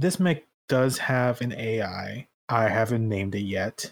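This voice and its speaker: An unremarkable speaking voice from a man with lively intonation. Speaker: tabletop game player and podcaster. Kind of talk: tabletop roleplay game session.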